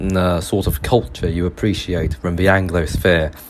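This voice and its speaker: A man with a British accent at a fairly slow pace. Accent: British accent, self-described. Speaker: podcast host. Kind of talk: podcast monologue on history. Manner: halting, many fillers and restarts.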